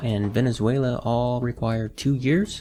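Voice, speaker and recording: At a moderate pace, a man speaks in a normal speaking voice with medium pitch. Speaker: podcast host. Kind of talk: educational podcast talk. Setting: studio.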